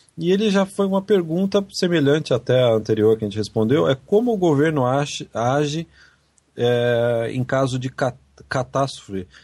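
At a moderate pace, a man of medium pitch makes very wide pitch swings. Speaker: podcast host. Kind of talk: casual chat. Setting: Skype call.

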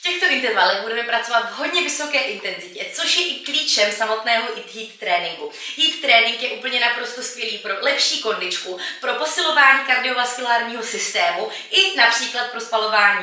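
A woman speaks at a high pitch with big swings in loudness. Audible room echo surrounds her voice. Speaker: fitness trainer. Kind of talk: workout intro talk. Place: home room.

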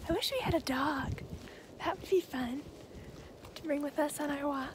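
Soft-spoken and high-pitched, a woman talks at a moderate pace with fairly even intonation, the sound dry with no echo despite noticeable background noise. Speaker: ASMR creator. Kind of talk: ASMR roleplay. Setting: outdoors. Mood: cheerful, playful. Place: open country. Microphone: phone near.

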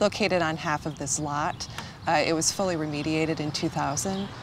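A woman with an American accent and a very deep, low pitch, fairly quick and fairly even, in a dry sound with no echo amid noticeable background noise. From Detroit, Michigan. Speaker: resident and community gardener. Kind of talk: interview commentary; interview answer. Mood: calm, matter-of-fact.

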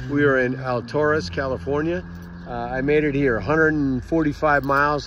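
This man's moderate-paced speech comes through as a dry sound with no echo, with noticeable background noise around it. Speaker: road trip vlogger. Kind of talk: casual vlog update. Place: street. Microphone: phone near.

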